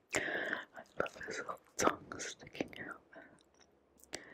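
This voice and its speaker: Someone whispers at a very slow pace. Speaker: comic collector. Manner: soft ASMR bedtime voice, chewing gum.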